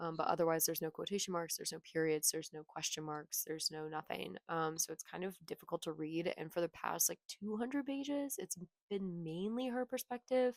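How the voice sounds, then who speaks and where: Soft-spoken, a woman talks at a fairly quick pace with lively intonation and hardly any pauses, the sound dry and close with no echo. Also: fairly low pitch for a woman. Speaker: booktuber. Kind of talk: casual vlog chat. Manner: casual, filler-heavy. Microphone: cheap clip mic that pops when she moves.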